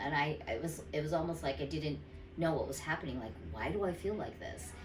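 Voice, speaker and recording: Over noticeable background noise, a woman talks with a very deep, low pitch. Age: 50s. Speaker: dental patient. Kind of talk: patient testimonial. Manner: casual, hesitant.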